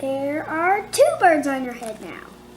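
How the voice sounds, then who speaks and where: Against loud background noise, a woman uses a put-on character voice, high-pitched and fairly slow. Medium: read story. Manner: calm, cheerful.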